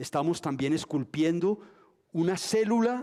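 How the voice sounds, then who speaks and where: A man talks at a fairly slow pace in a dark, mellow tone on a very clean recording with a silent background. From Colombia, Antioquia. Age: 60s. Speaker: dancer and dance school founder. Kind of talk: lecture. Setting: museum auditorium with audience, streamed.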